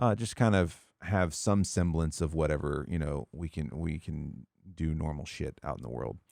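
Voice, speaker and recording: A man's very deep, low voice with a dark, mellow tone and an American accent, at a moderate pace, in a dry, close sound with no echo on a very clean recording with a silent background. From US South. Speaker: podcast host and streamer. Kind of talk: casual chat.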